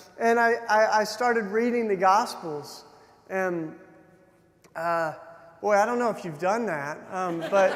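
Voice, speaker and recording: A high-pitched man with an American accent, fairly slow pace, long, frequent pauses and ordinary pitch variation, plus audible room echo and noticeable background noise. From Tennessee, US South. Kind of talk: keynote talk with personal testimony. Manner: hesitant, many fillers and restarts.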